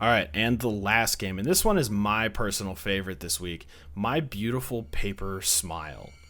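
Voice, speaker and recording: A bright, sharp tone with a strong Midwestern accent, ordinary pitch variation and a moderate pace. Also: man, fairly low pitch for a man. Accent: thick Midwestern US. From US Midwest. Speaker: indie game reviewer, YouTuber. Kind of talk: casual video commentary. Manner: casual, conversational with fillers.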